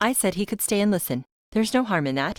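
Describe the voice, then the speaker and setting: A woman growls through a put-on character voice at medium pitch, with very wide pitch swings and a very fast pace. The recording is very clean with a silent background and a dry, close sound with no echo. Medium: read story. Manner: nervous, hesitant.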